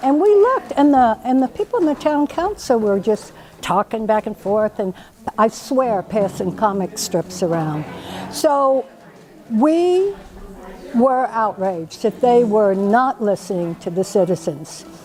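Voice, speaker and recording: Over noticeable background noise, a woman with an American accent speaks in a fairly high pitch with very wide pitch swings. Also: fairly slow pace. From US Deep South. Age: 70s. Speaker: political activist. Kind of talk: personal testimony.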